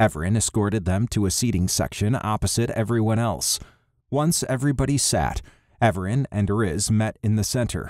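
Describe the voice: The pitch rises and falls in an ordinary way as the text is read aloud plainly.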